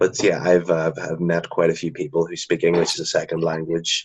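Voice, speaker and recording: Here a man talks at a moderate pace in a Northern Irish accent. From Northern Ireland. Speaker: drama graduate. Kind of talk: interview.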